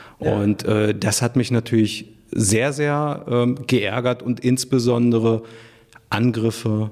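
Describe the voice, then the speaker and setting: Noticeable background noise sits behind a man speaking at a medium pitch and a fairly slow pace, his intonation fairly even. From Germany, Hanover. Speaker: mayor. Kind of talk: interview.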